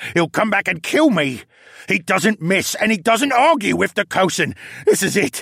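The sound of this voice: Putting on a character voice, a man speaks high with lively intonation, a fairly bright tone, vocal fry and a slightly husky edge, in a dry, close sound with no echo. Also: moderate pace, very clean recording, silent background.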